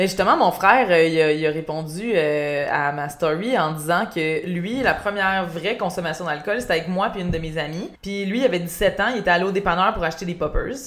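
Fairly quick delivery with ordinary pitch variation, audible room echo and noticeable background noise. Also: woman, fairly low pitch for a woman. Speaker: podcast host and YouTuber. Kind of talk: casual chat. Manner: relaxing.

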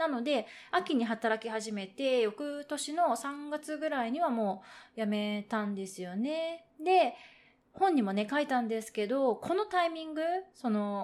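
A woman's high voice moves with lively intonation, her words coming fairly slowly. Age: 30s. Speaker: podcast host. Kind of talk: solo monologue. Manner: polite, formal.

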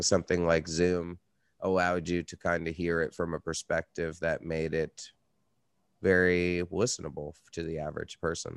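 Very deep and low in pitch, a man's voice comes through dry and close with no echo on a very clean recording with a silent background. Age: 30s. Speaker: podcast host and metal musician. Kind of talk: casual interview chat.

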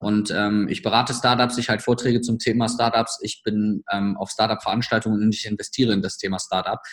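In a very clean recording with a silent background, a man of medium pitch speaks at a fairly quick pace in a monotone, flat delivery with hardly any pauses. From Germany, village. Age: 30s. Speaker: startup coach. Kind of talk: podcast interview.

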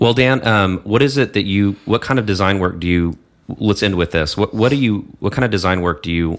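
Speaking at a fairly quick pace, a man with an American accent uses a very deep, low pitch and ordinary pitch variation. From Texas. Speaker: podcast host. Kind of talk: casual chat. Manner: hesitant, many fillers.

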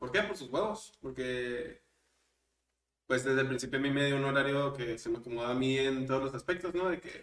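Using an unremarkable speaking voice, a man of medium pitch talks at a fairly quick pace with ordinary pitch variation. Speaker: podcast co-host. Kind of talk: casual chat.

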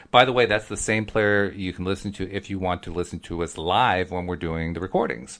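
A man with an American accent speaks in a very deep, low pitch. His pace is fairly quick, with hardly any pauses. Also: ordinary pitch variation. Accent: East Coast American, moderated. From US East Coast. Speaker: podcast host. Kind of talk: casual conversation, podcast intro.

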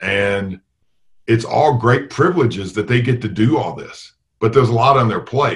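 A man's medium-pitched, somewhat breathy voice moves along at a moderate speed. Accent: American. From US South, Tennessee. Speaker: college basketball coach. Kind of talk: interview. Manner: halting.

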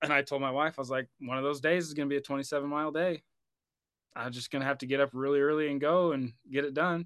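Talking at a very fast pace, a man with an American accent keeps a flat, monotone delivery in a fairly high pitch. The sound is dry and close with no echo, over a quiet background. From Oregon, US. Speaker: firefighter and endurance runner. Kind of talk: casual interview chat.

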